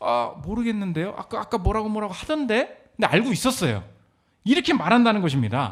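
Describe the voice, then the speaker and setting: A man with a high-pitched voice talks at a fairly quick pace. The recording is very clean, with a silent background. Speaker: pastor. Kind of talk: sermon. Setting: church. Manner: fast; animated.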